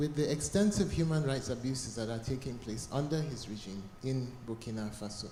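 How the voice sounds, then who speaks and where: Very fast speech from a man at a medium pitch with ordinary pitch variation, with audible room echo and noticeable background noise. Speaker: conference audience member. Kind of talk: audience comment. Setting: cold conference hall.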